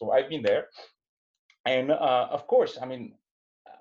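There is a dark, mellow tone to this man's voice, and he speaks with a Bulgarian accent. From Bulgaria, Sofia. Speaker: business executive. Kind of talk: interview. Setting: video call.

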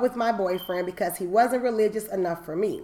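A woman is speaking. Her tone is animated. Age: 40s. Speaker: podcast host. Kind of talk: casual chat.

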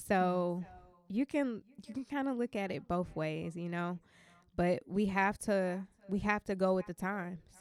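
At a fairly slow pace, a woman with a plain, everyday voice speaks at medium pitch with ordinary pitch variation. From US South. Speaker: DJ. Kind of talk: interview.

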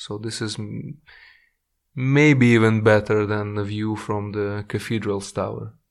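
Speaking at a fairly slow pace, a man with a Russian accent and fairly low pitch is heard on a very clean recording with a silent background. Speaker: expat professional. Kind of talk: casual interview. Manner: hesitant, many fillers.

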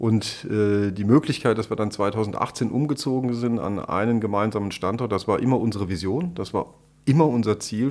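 A man with a normal speaking voice talks at a moderate pace, with hardly any pauses. His pitch sits in the medium range and shows ordinary variation. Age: 50s. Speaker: nursing school director. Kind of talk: interview.

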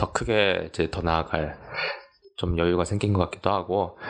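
With normal pitch movement, an ordinary speaking voice talks at a medium speed. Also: man. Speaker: podcast host. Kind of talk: casual chat.

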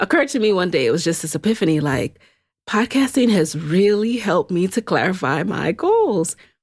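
On a very clean recording with a silent background, a woman with vocal fry speaks at a fairly quick pace with lively intonation. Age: 30s. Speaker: podcast host. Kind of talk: solo reflective monologue.

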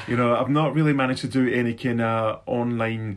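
A man with a Scottish accent at a medium pitch. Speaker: beatboxer and youth worker. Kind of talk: casual interview chat. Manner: animated, jokey.

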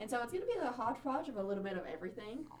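With an Appalachian accent, a woman speaks with ordinary pitch variation. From eastern Kentucky (Hazard). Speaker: student podcast co-host. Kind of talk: casual chat.

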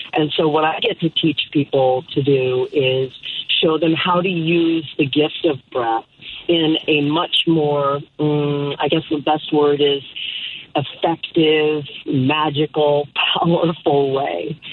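Very slowly, a woman speaks with a very deep, low pitch, fairly even intonation and very even loudness. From Chicago. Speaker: breathwork and wellness coach. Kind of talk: phone interview. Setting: phone call.

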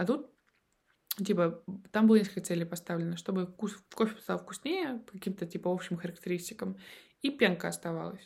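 Talking at a fairly quick pace with long, frequent pauses, a woman with a medium-pitched voice and vocal fry shows ordinary pitch variation and big swings in loudness. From Russian Far East, Vladivostok. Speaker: chef and food project manager. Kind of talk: casual interview chat. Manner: animated.

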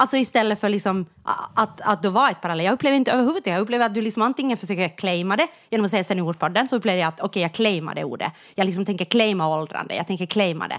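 Lively intonation marks a woman's speech at a very fast pace. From Finland, Jakobstad (Ostrobothnia). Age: 40s. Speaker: podcast co-host. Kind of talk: casual chat.

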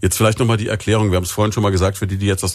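With ordinary pitch variation, the man's fairly low voice comes out somewhat breathy. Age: 40s. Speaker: radio host. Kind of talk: radio interview.

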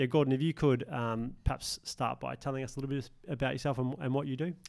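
A man talks at a very fast pace with fairly even intonation and medium pitch. The recording is very clean, with a silent background. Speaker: podcast host. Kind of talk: casual interview.

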